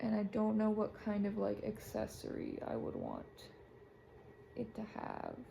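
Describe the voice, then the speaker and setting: Noticeable background noise surrounds the woman as she talks fairly slowly. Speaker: book and art content creator. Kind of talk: casual draw-along chat. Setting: alone in bedroom. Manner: casual, rambling with fillers.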